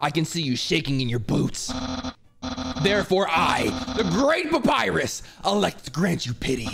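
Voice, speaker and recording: A man's put-on character voice at a high pitch, at a moderate pace with long, frequent pauses, over music in the background. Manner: pompous, boastful.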